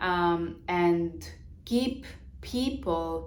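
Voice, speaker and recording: A woman's voice with audible room echo. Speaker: business coach. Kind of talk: vlog monologue on business. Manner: halting, many fillers.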